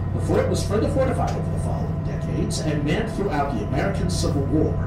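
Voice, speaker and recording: Amid loud background noise and audible room echo, a man talks at a very fast pace. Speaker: tour guide. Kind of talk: tour narration. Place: boat.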